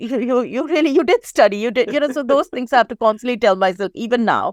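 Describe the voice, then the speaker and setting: With an Indian accent, a woman talks at a very fast pace in a high pitch with lively intonation, the sound dry and close with no echo. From India (Mumbai). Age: 50s. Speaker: psychiatrist. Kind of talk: interview conversation. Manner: fast when anxious.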